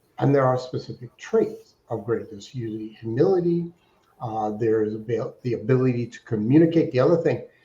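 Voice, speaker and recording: A man's voice with a somewhat breathy quality. His tone is dark and mellow. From Alaska. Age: 60s. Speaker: fundraising consultant. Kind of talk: interview.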